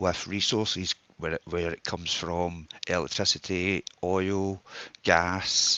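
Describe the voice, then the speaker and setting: In a strong Scottish accent, a man speaks very slowly with a very deep, low pitch, a bright, sharp tone and monotone, flat intonation, in a dry, close sound with no echo. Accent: broad Scottish. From Scotland. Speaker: audience member. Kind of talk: live audio space discussion.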